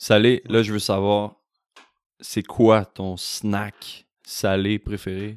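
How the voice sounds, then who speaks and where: In a Quebec accent, a man talks very slowly at a fairly low pitch, his intonation flat and monotone, the sound dry and close with no echo. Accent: Québécois. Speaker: podcast host. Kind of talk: interview. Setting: host's home.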